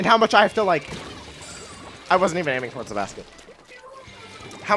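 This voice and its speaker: A woman speaks in a fairly low pitch with very wide pitch swings. Her long, frequent pauses sit over noticeable background noise. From Canada. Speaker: gaming streamer. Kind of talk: casual live stream chat while gaming. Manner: halting, pauses while thinking.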